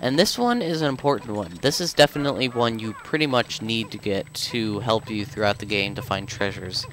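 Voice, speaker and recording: Over noticeable background noise, a man talks at a fairly quick pace with ordinary pitch variation and hardly any pauses. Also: medium pitch for a man. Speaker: video game let's player. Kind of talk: gameplay commentary. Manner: casual, halting with fillers.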